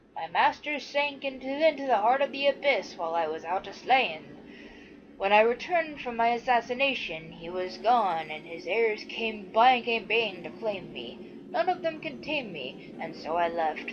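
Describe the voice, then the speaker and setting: Over clear background noise, a woman uses a put-on character voice at a moderate pace, pitched fairly high. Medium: actual play. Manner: slow, ominous.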